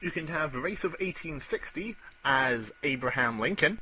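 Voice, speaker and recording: A man with a Scottish accent, fairly high-pitched, his pitch swinging very widely, over noticeable background noise. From Scotland. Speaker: gaming podcast co-host. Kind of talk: casual chat.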